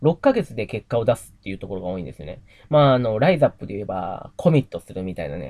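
The voice has vocal fry and very wide pitch swings at a very fast pace. The sound is dry and close, with no echo. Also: man. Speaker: YouTuber and investor. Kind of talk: casual vlog monologue. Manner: rambling, many fillers.

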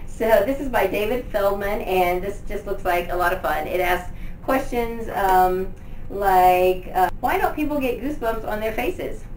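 In an American accent, a woman speaks at a medium pitch and a fairly slow pace with ordinary pitch variation over clear background noise.

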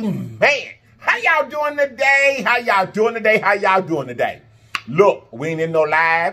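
In a raised, projected voice, a man speaks at a moderate pace with very wide pitch swings. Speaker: mukbang host. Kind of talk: casual vlog chat. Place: home room.

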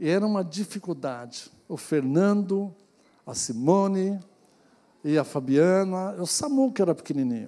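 A man at a high pitch, dark and mellow in tone, at a fairly slow pace. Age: 60s. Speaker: pastor. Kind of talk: sermon. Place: church. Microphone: handheld.

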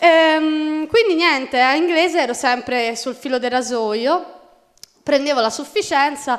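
A woman talks at a fairly slow speed over a quiet background. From Florence, Italy; Tuscany, Italy. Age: 20s. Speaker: university law student with dyslexia; conference speaker. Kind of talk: testimony. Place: hall. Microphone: podium.

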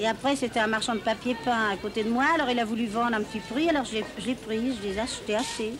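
The speech comes at a very fast pace with fairly even intonation, over noticeable background noise. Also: woman, fairly high pitch for a woman. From Paris. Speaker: market shopkeeper. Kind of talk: interview answer. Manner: casual, hesitant. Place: street. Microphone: old recording.

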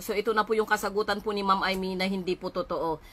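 A woman's bright, sharp voice at medium pitch. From Philippines. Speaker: vlogger. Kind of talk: live stream monologue. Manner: halting, many fillers; polite, formal. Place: home room. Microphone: phone near.

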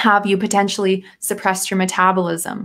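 The tone is fairly bright, with little pitch movement and a moderate pace. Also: woman, medium pitch for a woman.

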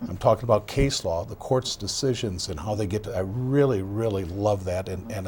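A man's fairly low voice at a fairly quick pace, with ordinary pitch variation. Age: 60s. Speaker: outgoing county sheriff. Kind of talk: TV interview. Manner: halting, many fillers and repetitions.

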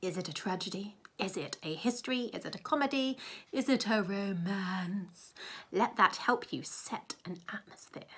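This woman's tone is bright and sharp. She talks at a fairly slow pace. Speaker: presenter. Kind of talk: tutorial. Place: home room. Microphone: webcam.

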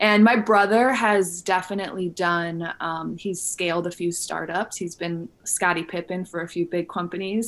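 With fairly even intonation, an unremarkable speaking voice carries the words. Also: woman. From Illinois, US Midwest. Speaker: wellness entrepreneur and coach; podcast guest. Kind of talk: casual interview. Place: home room. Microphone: studio mic.

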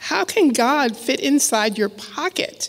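A woman speaks in a high voice. She talks very slowly. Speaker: author giving a lecture. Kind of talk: lecture with a reading. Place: hall. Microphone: podium.

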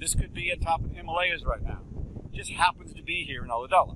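Noticeable background noise sits behind a man's voice, though the sound is dry with no echo. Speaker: earth science professor. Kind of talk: lecture. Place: beach. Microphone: lapel.

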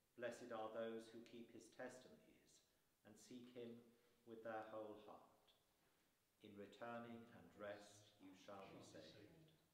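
Amid light background noise and audible room echo, a man speaks fairly slowly in a flat monotone. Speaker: lay reader. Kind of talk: reading aloud. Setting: church. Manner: halting. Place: church. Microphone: camera far.

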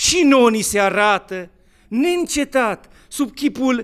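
The background stays quiet. A man talks with lively intonation. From Romania. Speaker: Orthodox bishop; bishop preaching. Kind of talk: sermon. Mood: solemn, warm, expressive. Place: church.

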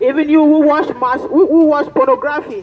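A woman with a high pitch speaks at a fairly slow pace, her intonation lively. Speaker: street preacher. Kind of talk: sermon. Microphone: handheld.

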